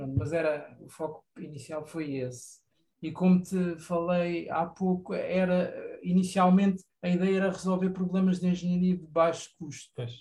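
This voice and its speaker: A man's high-pitched voice with a dark, mellow tone, fairly even intonation, big swings in loudness and a moderate pace. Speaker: environmental engineer, community garden member. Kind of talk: radio interview.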